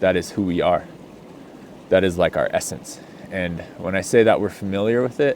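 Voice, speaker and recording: This is a man's voice. His pitch sits fairly low. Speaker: healing and somatics coach. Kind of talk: casual off-the-cuff talk. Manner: slow; relaxed, hesitant with many ums.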